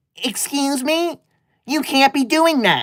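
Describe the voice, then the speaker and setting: Using a put-on character voice, a woman pitches her speech high. She talks at a fairly slow pace. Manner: indignant.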